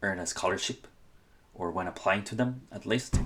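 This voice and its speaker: A man speaks with a Spanish accent. His pitch rises and falls in an ordinary way. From Honduras. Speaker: student and scholarship advice creator. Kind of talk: casual podcast-style talk. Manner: halting, many fillers and restarts.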